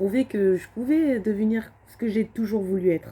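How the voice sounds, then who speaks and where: A woman speaks in a dark, mellow tone with ordinary pitch variation. Her voice is somewhat breathy. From France, Alsace (Strasbourg area). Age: 20s. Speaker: vlogger. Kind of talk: personal testimony vlog. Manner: hesitant, many fillers and repetitions.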